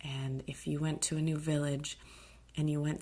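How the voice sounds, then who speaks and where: The voice is somewhat breathy, with monotone, flat intonation, and moves at a moderate pace. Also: woman. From Alaska. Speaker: podcast host. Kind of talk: casual podcast monologue. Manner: hesitant, many fillers.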